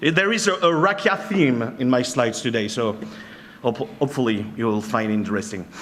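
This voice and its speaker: With a French accent, a man of medium pitch speaks at a fairly quick pace with very wide pitch swings, amid noticeable background noise and audible room echo. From France. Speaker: penetration tester and trainer. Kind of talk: conference talk. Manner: halting.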